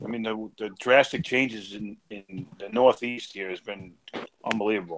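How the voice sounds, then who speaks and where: A man with a New York accent speaks at a medium pace. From New York City. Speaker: live stream participant, reef tank hobbyist. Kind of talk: casual chat.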